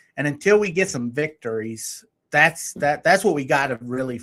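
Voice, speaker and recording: A man with an American accent and a plain, everyday voice speaks at a moderate pace with a fairly high pitch. His intonation is lively, and the recording is very clean with a silent background. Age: 50s. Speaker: podcast host. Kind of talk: interview.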